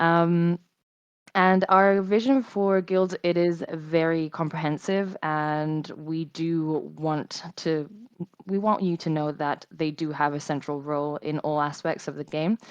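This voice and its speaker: Fairly slow, fairly even speech from a woman with fairly low pitch. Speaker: game community team member hosting a meeting. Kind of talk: community meeting presentation. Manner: hesitant, many fillers.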